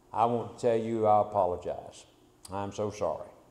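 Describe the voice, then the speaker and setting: A man's monotone, flat delivery at a fairly slow pace, with audible room echo. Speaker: preacher. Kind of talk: sermon. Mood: humble, apologetic. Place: church. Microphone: podium.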